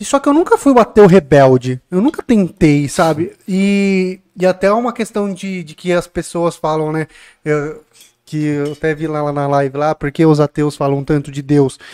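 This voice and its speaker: The sound is dry and close with no echo, carrying a man's fairly high-pitched voice. It is a plain, everyday voice, moving at a moderate pace with ordinary pitch variation. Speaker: podcast host. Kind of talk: casual podcast chat. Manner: joking, informal.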